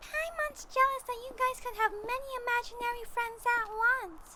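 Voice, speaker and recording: A put-on character voice at an extremely high pitch and moderate pace, with light background noise. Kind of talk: audio roleplay. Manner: excitable.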